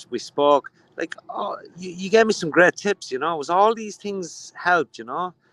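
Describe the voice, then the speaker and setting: Delivered at a moderate pace with a strong Dublin accent, the speech has lively intonation and big swings in loudness, recorded dry and close with no echo. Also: man. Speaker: spiritualist shop owner. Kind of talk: casual chat.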